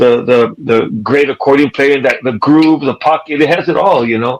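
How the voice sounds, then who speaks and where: A man with an American accent, medium pitch, fairly even intonation and a moderate pace, over noticeable background noise. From California, San Jose. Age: 50s. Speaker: musician. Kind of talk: casual chat.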